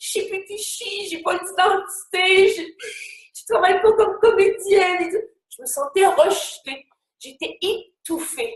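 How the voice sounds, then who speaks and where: Extremely high in pitch, a woman speaks at a very slow pace with ordinary pitch variation. Her loudness swings widely. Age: 60s. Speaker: actress and motivational speaker. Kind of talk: live webinar talk. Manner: spontaneous, hesitant with many fillers.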